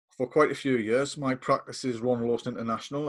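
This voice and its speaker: Monotone and flat in intonation, a man with a northeast English accent speaks at a medium pitch. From northeast England. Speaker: coaching lecturer. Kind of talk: casual chat. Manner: hesitant, many fillers.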